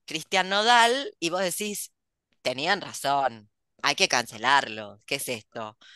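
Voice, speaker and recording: Very wide pitch swings and a bright, sharp tone mark this very slow delivery, recorded dry with no echo against a quiet background. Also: woman, very deep, low pitch for a woman. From Argentina. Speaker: podcast host and writer; host. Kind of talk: casual chat. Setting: video call. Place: home room. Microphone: headset.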